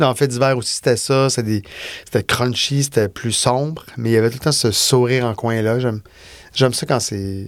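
A man with a Quebec accent at medium pitch, fairly quick pace and ordinary pitch variation. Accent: Québécois French. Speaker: film and TV director. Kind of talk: casual interview. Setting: studio.

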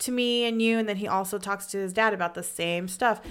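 In a very clean recording with a silent background, a woman talks at a fairly quick pace in a bright, sharp tone with ordinary pitch variation. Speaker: podcast co-host. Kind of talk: casual chat. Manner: loud; energetic.

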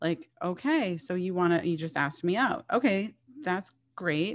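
Speaking in a normal speaking voice, a woman with an American accent sounds fairly low-pitched, with lively intonation at a moderate pace. The recording is very clean with a silent background. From Boston. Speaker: podcast host. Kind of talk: casual chat. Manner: many fillers and false starts.

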